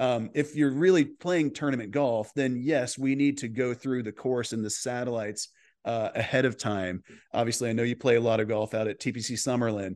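A man with an unremarkable speaking voice talks at a moderate pace and medium pitch, with ordinary pitch variation against a quiet background. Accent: American. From Texas. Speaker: golf coach. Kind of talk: interview.

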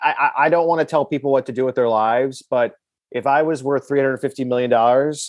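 A man with an American accent has an ordinary speaking voice at a medium pitch. He talks at a fairly quick pace with fairly even intonation. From Milwaukee, Wisconsin. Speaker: comedian and sports fan guest. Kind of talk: casual interview.

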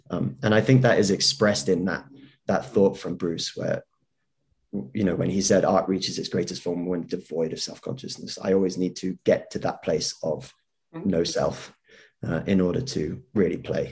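With lively intonation and vocal fry, a man speaks in a very deep, low voice. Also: moderate pace. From Hong Kong. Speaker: actor. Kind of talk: casual chat.

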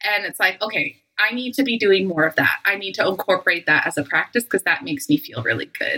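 In a Western Canadian accent, a woman talks very fast at a medium pitch with hardly any pauses. The sound is dry and close with no echo. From Canada. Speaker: intimacy coach. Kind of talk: casual chat.

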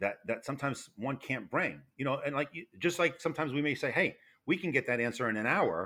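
The speaker talks at a very fast pace with an American accent and lively intonation. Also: man, fairly high pitch for a man. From New York. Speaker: retired federal fire investigator. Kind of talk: interview. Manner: loud.

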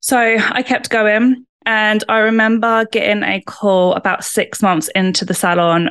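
Against a quiet background, a woman with a British accent speaks at a moderate pace with ordinary pitch variation. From UK. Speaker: salon owner and lash trainer. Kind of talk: interview.

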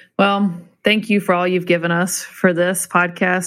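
Against a quiet background, a woman with an unremarkable speaking voice talks at a moderate pace in a fairly low pitch. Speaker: podcast co-host. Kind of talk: interview conversation.

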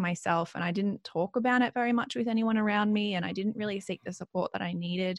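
A woman with an Australian accent talks at a fairly quick pace with a medium pitch and fairly even intonation. The recording is very clean, with a silent background. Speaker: mindfulness coach. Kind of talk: interview conversation. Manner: calm.

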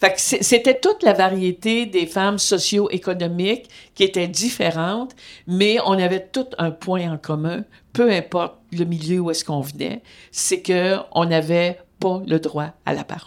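On a very clean recording with a silent background, a woman with an ordinary speaking voice, medium pitch and ordinary pitch variation talks at a fairly slow pace. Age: 60s. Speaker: retired feminist activist, host's mother. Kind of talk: interview testimony.

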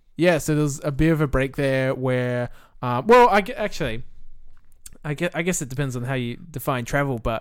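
A man in an Australian accent, with medium pitch and a moderate pace. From South Australia, Millicent. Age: 20s. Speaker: video game developer. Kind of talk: casual chat.

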